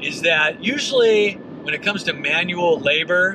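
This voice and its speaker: Noticeable background noise accompanies a man speaking fairly slowly in a dry sound with no echo. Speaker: podcast host. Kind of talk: casual vlog chat. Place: car.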